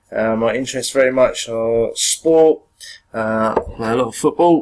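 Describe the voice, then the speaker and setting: A man speaks in an English accent at a moderate pace. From England. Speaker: teacher. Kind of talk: lecture. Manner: hesitant, many fillers.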